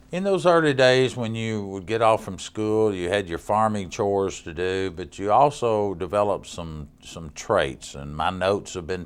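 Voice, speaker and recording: A man with a fairly low pitch speaks at a moderate pace with hardly any pauses and ordinary pitch variation. His loudness swings widely, and the recording is very clean with a silent background. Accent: Tennessee. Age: 60s. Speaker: county mayor, TV interviewer. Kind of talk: TV interview.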